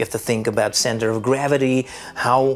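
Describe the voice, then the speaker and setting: A man with a non-native accent and medium pitch at a moderate pace, with music in the background. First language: Dutch. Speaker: vlogger. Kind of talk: unscripted vlog monologue. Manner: hesitant, many fillers.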